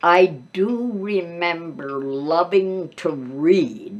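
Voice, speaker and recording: Speaking at a very slow pace with an American accent, a woman uses a fairly low pitch and lively intonation. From US Midwest. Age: 90s. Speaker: grandmother telling life stories. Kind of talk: oral history interview. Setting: seated interview, boom mic.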